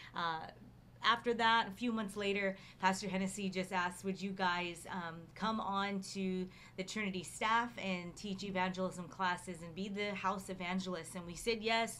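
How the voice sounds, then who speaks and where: A woman speaks in a monotone, flat intonation. Her pace is moderate, with light background noise behind her. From Hawaii. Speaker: pastor. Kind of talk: testimony. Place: home room. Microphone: studio mic.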